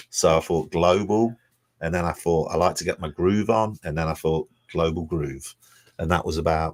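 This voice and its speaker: A man's very deep, low voice at a moderate pace with fairly even intonation, dry and close with no echo, on a very clean recording over a silent background. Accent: English. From England, Leicester (Blaby). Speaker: events company owner. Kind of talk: radio interview.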